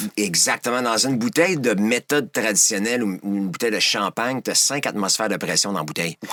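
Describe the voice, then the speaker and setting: A man's fairly low, bright and sharp voice at a very fast pace with hardly any pauses, ordinary pitch variation, and a dry, close sound with no echo. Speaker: wine importer and sommelier. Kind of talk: podcast interview, explaining wine.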